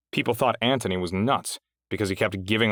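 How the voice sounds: Against a quiet background, the text is read in a natural reading voice with fairly even intonation.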